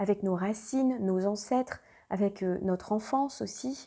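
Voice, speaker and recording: Fairly even intonation carries a woman's dark, mellow tone. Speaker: astrologer. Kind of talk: astrology reading monologue. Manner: halting, many hesitations.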